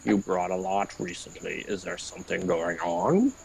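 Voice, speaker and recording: Doing a put-on character voice, a man speaks very deep and low in a monotone, flat intonation at a moderate pace over clear background noise. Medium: game stream. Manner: deferential, hesitant.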